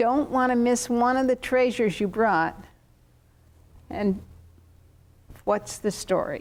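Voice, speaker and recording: A woman with an American accent speaks very slowly in a high pitch, with long, frequent pauses. Her loudness stays very even, and the recording is very clean with a silent background. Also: ordinary pitch variation. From southern Oregon. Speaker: tv interview host. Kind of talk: casual interview.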